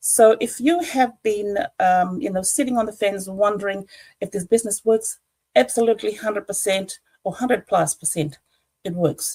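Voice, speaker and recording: At a moderate pace, a woman with a medium pitch speaks in a dark, mellow tone that is somewhat breathy, with lively intonation. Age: 60s. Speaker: online business entrepreneur. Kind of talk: testimony. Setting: livestream. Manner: halting.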